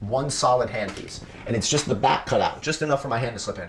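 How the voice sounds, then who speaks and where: The talk moves at a fairly quick pace in a normal speaking voice, with ordinary pitch variation. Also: man. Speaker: 3D printing and cosplay streamer. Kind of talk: casual live stream Q&A.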